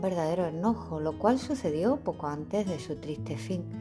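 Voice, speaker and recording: Music plays in the background as a woman speaks at a moderate pace with an Andalusian accent. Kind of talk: bedtime story reading.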